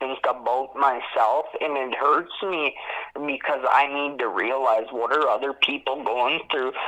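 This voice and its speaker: A man's fairly high voice at a fairly slow pace, fairly even in intonation, over noticeable background noise. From Saskatchewan, Canada. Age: 20s. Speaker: formerly incarcerated man telling his story. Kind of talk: interview testimony.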